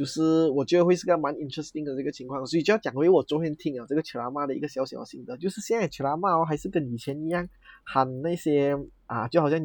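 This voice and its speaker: At a very fast pace, a man talks with fairly high pitch and ordinary pitch variation. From Malaysia. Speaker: podcast co-host. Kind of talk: casual chat.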